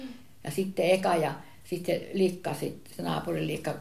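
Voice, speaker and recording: There is audible room echo around this woman. She talks at a moderate pace. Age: 80s+. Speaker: relative of the grandfather. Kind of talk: casual reminiscing conversation.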